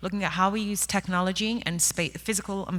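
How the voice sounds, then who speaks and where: This is a woman speaking with an English accent. She talks at a fairly quick pace. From England. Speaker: workplace technology executive. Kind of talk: conference panel talk. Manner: animated.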